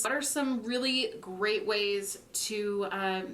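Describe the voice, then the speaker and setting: A woman talks at a medium pitch. Audible room echo and noticeable background noise are present. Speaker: video creator interviewing a friend. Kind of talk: casual interview conversation.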